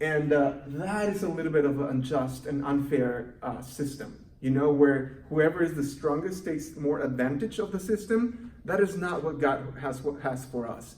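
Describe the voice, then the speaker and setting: A man with a Mexican accent talks at a fairly high pitch, with ordinary pitch variation and hardly any pauses. Audible room echo and noticeable background noise fill the recording. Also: moderate pace. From Mexico City. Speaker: youth program coordinator. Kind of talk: recorded volunteer training presentation. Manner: halting, with many fillers.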